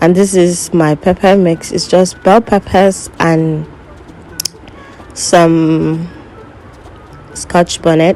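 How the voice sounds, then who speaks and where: Amid noticeable background noise, a woman speaks very slowly in a fairly low, monotone, flat voice with long, frequent pauses. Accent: non-native. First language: not English. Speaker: cooking vlogger. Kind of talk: cooking tutorial voiceover.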